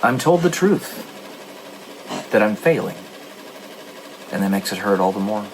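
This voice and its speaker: A man's fairly low voice at a moderate pace, with very wide pitch swings, long, frequent pauses and noticeable background noise. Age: 30s. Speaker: gaming streamer and author. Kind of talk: casual monologue during a game stream. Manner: halting.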